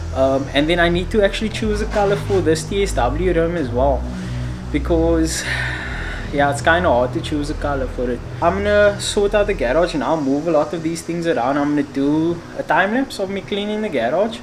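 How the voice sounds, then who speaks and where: Speech comes at a fairly quick pace against noticeable background noise. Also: man. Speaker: car vlogger. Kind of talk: casual vlog chat. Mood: relaxed, upbeat. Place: garage. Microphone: phone near.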